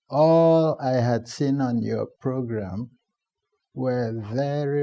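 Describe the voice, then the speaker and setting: Very slowly, a man talks in a dark, mellow tone at medium pitch with ordinary variation. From Nigeria, Cross River State. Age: 70s. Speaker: retired public servant. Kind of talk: TV interview. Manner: formal.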